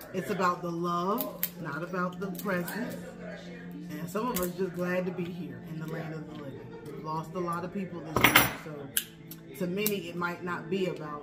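A woman at a moderate pace with clear music in the background. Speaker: mukbang host. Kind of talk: casual vlog chat. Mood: warm, reflective in part. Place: kitchen. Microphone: phone near.

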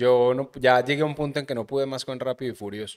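A man with a Medellín Colombian accent, ordinary pitch variation, and a quiet background. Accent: Colombian paisa (Medellín) Spanish. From Colombia, Medellín. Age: 30s. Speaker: podcast host. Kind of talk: casual chat. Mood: relaxed, joking, storytelling. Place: studio. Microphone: studio mic.

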